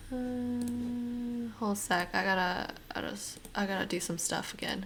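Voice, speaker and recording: In a Californian accent, a woman speaks at a fairly slow pace, with audible room echo around her. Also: fairly high pitch for a woman, ordinary pitch variation. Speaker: art and gaming streamer. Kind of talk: casual live-stream chat. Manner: casual.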